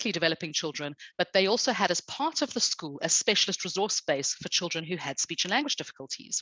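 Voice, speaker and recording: Her tone bright and sharp, a woman speaks at a moderate pace and a fairly low pitch, with a dry, close, echo-free sound and a quiet background. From South Africa, British parents. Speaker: speech and language specialist teacher. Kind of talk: podcast interview.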